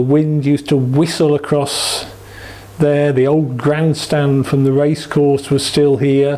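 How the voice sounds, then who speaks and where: A man with an East Midlands accent talks at a very slow pace in a fairly high pitch. His intonation is monotone and flat, with noticeable background noise behind him. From England, East Midlands (Derby). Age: 60s. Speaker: cricket supporter. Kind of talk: oral history interview.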